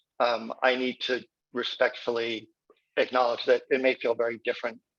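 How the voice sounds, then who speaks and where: Heard in a dry, close sound with no echo, a man speaks at a moderate pace. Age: 60s. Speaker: winery owner. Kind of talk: conference introduction.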